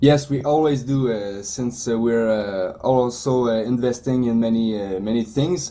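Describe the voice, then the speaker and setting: A man speaks with a Quebec accent at a fairly slow pace. He hardly pauses at all. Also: medium pitch for a man, ordinary pitch variation. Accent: French-Canadian accent in English. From Quebec, Canada. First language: French. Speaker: 3D printing business owner. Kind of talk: interview. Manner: halting, many fillers.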